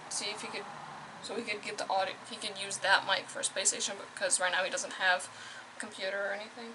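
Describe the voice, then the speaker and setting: Through noticeable background noise, a woman at medium pitch speaks at a very fast pace. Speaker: vlogger, nursing student. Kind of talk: casual vlog talk to camera.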